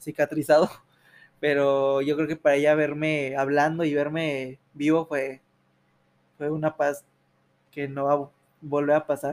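The voice is monotone and flat, recorded dry and close with no echo. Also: man. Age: 20s. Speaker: university student, accident survivor. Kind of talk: testimony. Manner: halting.

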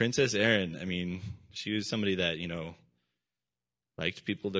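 A loud man with a very deep, low pitch, at a fairly quick pace over a quiet background. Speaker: minister. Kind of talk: sermon. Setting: church. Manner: animated.

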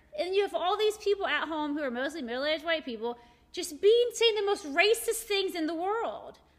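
Over noticeable background noise, a woman with an American accent speaks at an extremely high pitch and fairly quick pace with very wide pitch swings. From Morgantown, West Virginia. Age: 40s. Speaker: shop owner and art event organizer. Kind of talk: casual chat.

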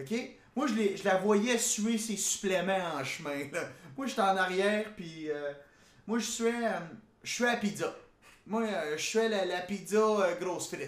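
In a very slow delivery full of long, frequent pauses, a man with a Quebec accent speaks at a high pitch with ordinary variation, amid audible room echo and noticeable background noise. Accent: Québécois French. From Quebec, Gatineau. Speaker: podcast host. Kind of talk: casual comedic monologue. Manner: animated.

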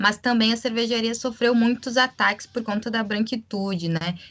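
A woman speaks at a fairly high pitch. Music plays in the background. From Rio Grande do Sul, Brazil. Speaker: podcast co-host, health professional. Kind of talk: casual political discussion.

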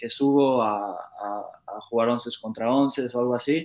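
A man speaks with ordinary pitch variation. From Mexico, Querétaro. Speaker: professional footballer. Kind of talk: casual interview. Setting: live stream.

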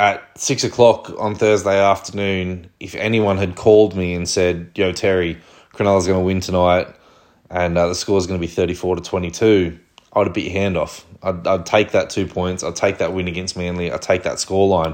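A man with an Australian accent speaks at a moderate pace. His very deep, low voice stays monotone, with flat intonation. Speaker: rugby league fan podcast host. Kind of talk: solo sports review commentary. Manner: flat tone; hesitant, many fillers.

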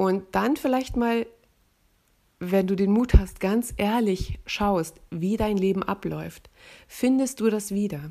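A woman's dark, mellow, medium-pitched voice at a very slow pace, with ordinary pitch variation, on a very clean recording with a silent background. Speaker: podcast host, voice-over artist and author. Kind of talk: casual monologue.

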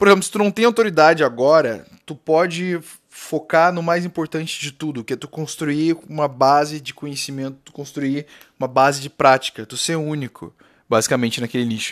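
A man speaks in a plain, everyday voice, fairly high in pitch, at a moderate pace with ordinary pitch variation and big swings in loudness. The recording is very clean with a silent background and a dry, close sound with no echo. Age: 20s. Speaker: podcast host, digital entrepreneur. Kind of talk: solo podcast monologue. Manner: casual, filler-heavy.

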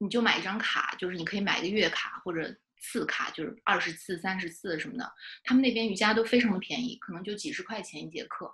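A woman at a medium pitch, very fast pace, ordinary pitch variation and big swings in loudness. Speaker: fiction writer. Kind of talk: casual interview chat.

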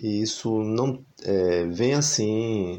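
The man's voice sits at a fairly low pitch and has a dark, mellow tone. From Brazil, Recife (Pernambuco). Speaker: singer-songwriter and music teacher. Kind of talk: interview conversation.

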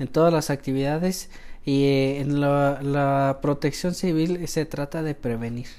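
A man's voice is dark and mellow, yet fairly high in pitch. He speaks at a fairly slow pace with fairly even intonation. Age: 30s. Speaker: civil protection director, paramedic. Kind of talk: interview.

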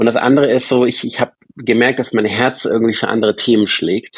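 Medium pitch and fairly even intonation from a man at a moderate pace, in a dry, close sound with no echo. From Stuttgart, Swabia, Germany. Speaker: bank co-founder and CEO. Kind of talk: interview. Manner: hesitant, many fillers.

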